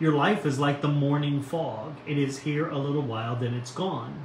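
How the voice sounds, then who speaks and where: The tone is warm, with audible room echo. Light background noise sits underneath. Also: man. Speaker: pastor. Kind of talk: devotional reading and reflection. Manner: warm, informal, friendly. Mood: calm, gentle, reflective. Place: home room. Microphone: phone near.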